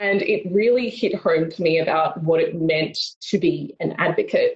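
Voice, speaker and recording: A woman with an Australian accent. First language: Tamil. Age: 20s. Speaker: mental health advocate. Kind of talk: keynote talk. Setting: video call.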